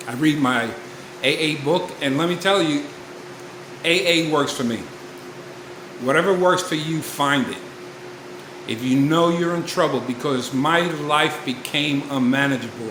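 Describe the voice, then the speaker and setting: Through noticeable background noise and audible room echo, a man with a fairly high voice speaks at a fairly slow pace with long, frequent pauses. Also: ordinary pitch variation. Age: 60s. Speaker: recovery vlogger. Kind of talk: personal testimony. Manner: casual, conversational.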